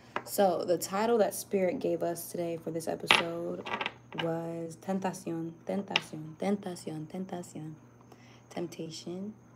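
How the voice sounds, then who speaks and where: Music plays in the background while the speaker goes at a fairly slow pace with fairly even intonation. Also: woman, fairly low pitch for a woman. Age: 20s. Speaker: spiritual tarot reader. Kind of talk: spiritual reading livestream. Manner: monotone.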